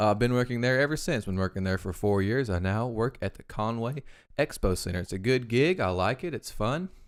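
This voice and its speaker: On a very clean recording with a silent background, a man with an Arkansas accent speaks at a medium pitch and a fairly quick pace with lively intonation. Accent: Southern US (Arkansas). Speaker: podcast co-host. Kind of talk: practice class speech; casual chat. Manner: fast; halting.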